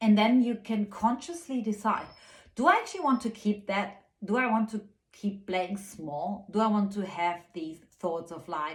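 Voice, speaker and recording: Moderate pace and ordinary pitch variation. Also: woman, medium pitch for a woman. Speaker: spiritual guide and channeler. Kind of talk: spiritual weekly guidance monologue. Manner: soft-spoken; hesitant with frequent fillers.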